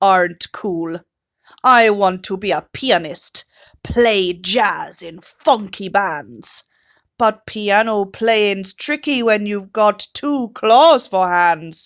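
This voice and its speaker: Using a put-on character voice, a woman speaks at a very slow pace with medium pitch and lively intonation, the sound dry and close with no echo. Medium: read story.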